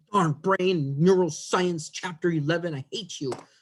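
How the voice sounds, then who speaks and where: This man's voice is pitched high. He keeps to a moderate pace. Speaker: biology instructor. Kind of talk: lecture.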